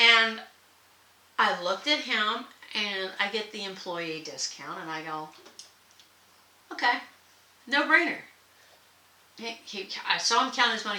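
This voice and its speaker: A woman with an American accent talks at a moderate pace in an animated tone, with big swings in loudness and long, frequent pauses. Audible room echo and noticeable background noise fill the recording. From not the US South. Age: 60s. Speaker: sewing and comedy vlogger. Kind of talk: casual vlog monologue.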